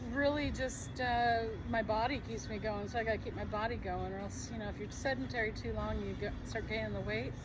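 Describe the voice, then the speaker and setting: A woman with an American accent speaks at a fairly quick pace with hardly any pauses, with audible room echo and noticeable background noise. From US Midwest, Missouri. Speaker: retired medical researcher, groundskeeper. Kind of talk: street interview.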